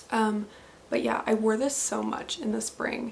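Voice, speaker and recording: A woman with a Canadian accent speaks at a fairly slow pace. Noticeable background noise runs beneath her voice. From Canada, southwestern Ontario. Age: 20s. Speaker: knitting podcaster and teacher. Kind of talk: casual video podcast monologue. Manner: relaxed, frequent fillers.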